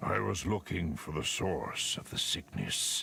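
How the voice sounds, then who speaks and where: Over clear background noise, a man uses a booming, put-on character voice with a solemn tone at a fairly slow pace. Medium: video game. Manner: solemn, cryptic.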